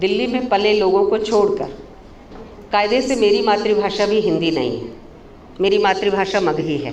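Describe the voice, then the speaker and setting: Noticeable background noise and audible room echo surround a woman speaking at medium pitch with ordinary pitch variation. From India, Kolkata (West Bengal). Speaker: professor. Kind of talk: seminar lecture. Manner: halting, with fillers.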